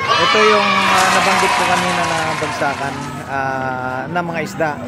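Very slow speech from a man, dry with no echo, over clear music in the background. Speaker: vlogger filming. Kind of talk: casual vlog chat. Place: market. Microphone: phone near.

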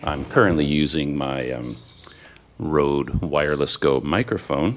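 Noticeable background noise runs under the recording. A man with a very deep, low voice talks at a very slow pace. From Canada. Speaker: travel vlogger. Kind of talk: unboxing video. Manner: animated. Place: home room. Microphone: lapel.

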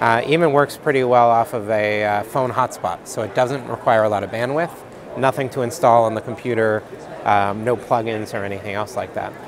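A man at a fairly quick pace with ordinary pitch variation, dry sound with no echo and noticeable background noise. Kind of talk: interview answer. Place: hall. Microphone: lapel.

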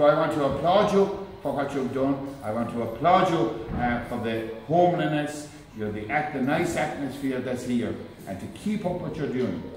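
A man's lively intonation at a moderate pace, with audible room echo and light background noise. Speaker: guest. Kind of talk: public speech. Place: hall. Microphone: camera far.

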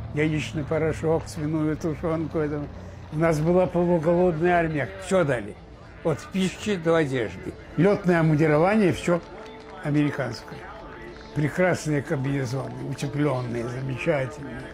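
Music plays in the background as a man with a fairly high pitch talks at a moderate pace, with ordinary pitch variation and long, frequent pauses. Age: 80s+. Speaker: war veteran. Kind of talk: interview answer. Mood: indignant, emphatic.

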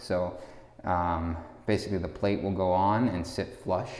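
Audible room echo surrounds the speaker. He is a man with a very deep, low pitch. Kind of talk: walkthrough commentary. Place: empty room. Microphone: phone near.

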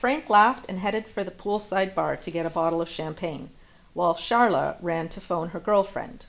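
The clip features a natural reading voice.

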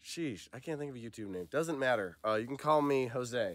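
A man talks at a fairly quick pace with a medium pitch. His tone is fairly bright and his intonation lively.

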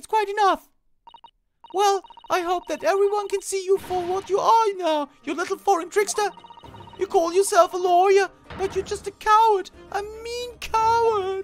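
A female-sounding, put-on character voice comes out shrill at an extremely high pitch for a woman. It moves at a moderate pace with long, frequent pauses. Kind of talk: comic overacting. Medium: game stream. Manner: indignant, shrill, scolding.

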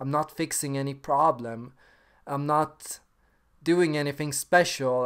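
Against a quiet background, a man speaks at a fairly slow pace. His pitch is fairly high and his intonation fairly even. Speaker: personality type video maker. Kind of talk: casual talk to camera. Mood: calm, reflective. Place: home room. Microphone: webcam.

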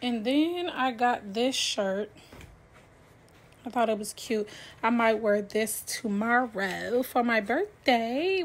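Speaking very slowly, a woman uses ordinary pitch variation. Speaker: vlogger. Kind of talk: casual vlog chat. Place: home room. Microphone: phone near.

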